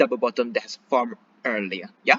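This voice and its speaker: His voice swings very widely in pitch. The man keeps a moderate pace. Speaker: stock trader and finance youtuber. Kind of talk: technical analysis tutorial. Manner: put-on beginner British accent; frequent fillers and tag 'yeah?'.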